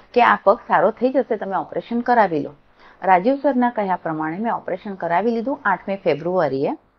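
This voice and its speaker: A woman speaks with very wide swings in her pitch. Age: 60s. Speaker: patient. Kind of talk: testimony. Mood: grateful, cheerful. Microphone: lapel.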